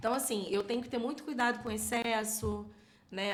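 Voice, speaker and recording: There is audible room echo and noticeable background noise. The voice moves at a moderate pace with ordinary pitch variation. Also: woman. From Rio de Janeiro state, São Gonçalo. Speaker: church minister and singer. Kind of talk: podcast interview.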